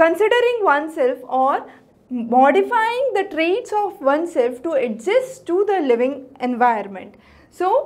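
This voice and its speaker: At a fairly slow pace, a woman speaks with an extremely high pitch and very wide pitch swings. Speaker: teacher. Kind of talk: lecture. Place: classroom. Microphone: lapel.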